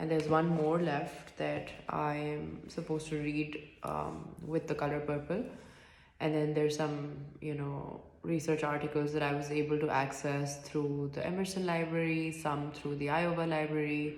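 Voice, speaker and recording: Soft-spoken and monotone with flat intonation, the voice carries audible room echo. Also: woman, very deep, low pitch for a woman, moderate pace. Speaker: student. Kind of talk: reflective monologue. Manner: halting.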